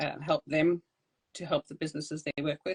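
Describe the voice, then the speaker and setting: A woman speaks with a South African accent at a very deep, low pitch. The sound is dry and close with no echo. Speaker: podcast host. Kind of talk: interview.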